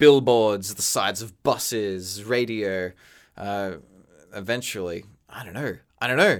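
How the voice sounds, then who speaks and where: Fairly low in pitch, a man speaks at a fairly slow pace with ordinary pitch variation. Long, frequent pauses break his speech on a very clean recording with a silent background. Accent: Australian. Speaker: animator, podcast co-host. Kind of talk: casual chat.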